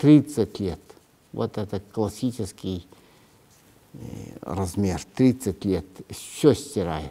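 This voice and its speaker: A man speaks at a very slow pace with long, frequent pauses. His fairly low voice makes very wide pitch swings. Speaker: writer. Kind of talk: interview. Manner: halting, many hesitations.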